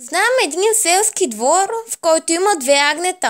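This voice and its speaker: Using a put-on character voice, a woman speaks at an extremely high pitch. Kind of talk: children's story reading. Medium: read story.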